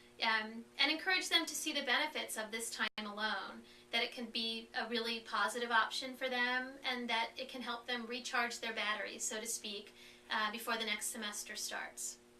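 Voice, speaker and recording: Through noticeable background noise and audible room echo, a woman speaks at a fairly high pitch with ordinary pitch variation. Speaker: foster care support staff presenter. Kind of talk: webinar presentation. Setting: conference call. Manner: fast; hesitant with fillers.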